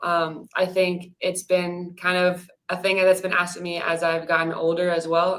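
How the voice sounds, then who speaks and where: A woman's fairly low voice at a moderate pace. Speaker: professional soccer center defender. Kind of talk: interview. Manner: quiet.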